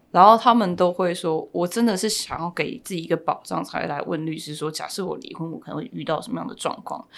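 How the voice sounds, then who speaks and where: A woman talks very fast with hardly any pauses, at a fairly low pitch with vocal fry. Her loudness swings widely, while her pitch variation is ordinary. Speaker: family lawyer and podcast host. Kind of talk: interview.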